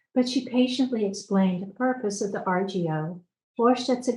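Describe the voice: Plain reading aloud with ordinary pitch variation, over a quiet background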